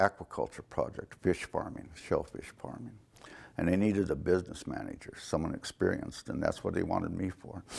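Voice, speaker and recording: Vocal fry in a man's very deep, low voice, delivered at a moderate pace. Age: 70s. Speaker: nonprofit director. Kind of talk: interview. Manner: halting.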